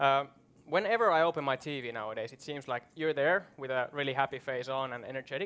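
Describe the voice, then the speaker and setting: Speaking at a fairly quick pace, a man has a bright, sharp tone. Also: fairly high pitch for a man, ordinary pitch variation. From Finland. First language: Finnish. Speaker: event host. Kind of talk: moderated panel discussion. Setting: stage with audience. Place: stage. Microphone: headset.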